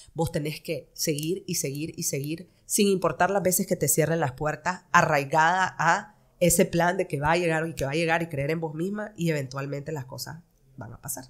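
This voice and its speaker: The speaker has a Nicaraguan accent and keeps a moderate pace. Intonation stays fairly even over a quiet background. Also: woman, fairly low pitch for a woman. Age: 30s. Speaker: fashion designer; podcast guest. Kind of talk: interview. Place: studio. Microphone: studio mic.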